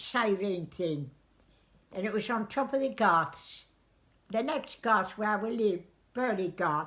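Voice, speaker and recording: A woman speaks at a very slow pace with lively intonation and long, frequent pauses. The recording is very clean, with a silent background. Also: medium pitch for a woman. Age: 80s+. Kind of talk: interview answer.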